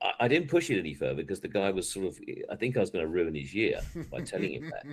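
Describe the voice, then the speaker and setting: A man with an English accent rattles along at a very fast pace. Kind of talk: casual chat.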